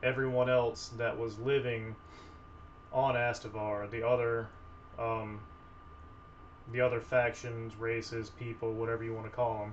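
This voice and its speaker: A man speaks at a medium pitch and a fairly slow pace, with monotone, flat intonation. Audible room echo and noticeable background noise are present. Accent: Southern US. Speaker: tabletop game designer and video creator. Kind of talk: casual video introduction. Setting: filming at a table, camera on table. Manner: hesitant, many fillers.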